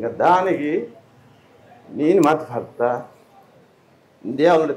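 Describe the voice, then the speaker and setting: His voice is fairly high in pitch for a man, with ordinary pitch variation. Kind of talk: interview answer.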